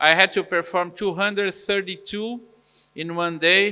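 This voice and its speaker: This man talks at a fairly slow pace, keeping his intonation fairly even. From Brazil. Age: 60s. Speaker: eye surgeon. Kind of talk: Q&A interview. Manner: halting.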